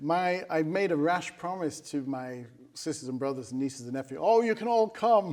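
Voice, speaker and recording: Man at a fairly high pitch, lively in intonation, at a moderate pace amid noticeable background noise. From Manchester, England. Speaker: musician and concert organizer. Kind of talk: casual interview chat.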